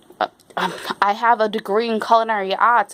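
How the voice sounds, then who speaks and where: Medium pitch from a woman at a fairly quick pace, dry and close with no echo, with noticeable background noise. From Rhode Island, US. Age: 40s. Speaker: YouTuber. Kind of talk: casual Q&A chat to camera. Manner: hesitant, many fillers; walking around while talking.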